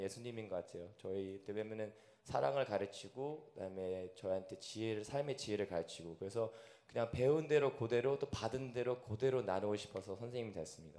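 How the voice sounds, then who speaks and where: A man talks in an unremarkable speaking voice at medium pitch. His pitch varies in an ordinary way, and his pace is moderate. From Korea, raised in China, US and Russia. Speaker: elementary school teacher. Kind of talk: panel interview in church. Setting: church service.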